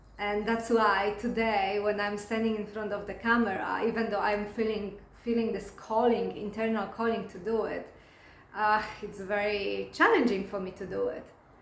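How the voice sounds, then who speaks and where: A woman's medium-pitched voice at a moderate pace, monotone and flat, with audible room echo. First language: not English. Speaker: spiritual coach and hypnotherapist. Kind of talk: casual talk to camera. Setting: recording alone to camera. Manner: halting, many fillers and restarts.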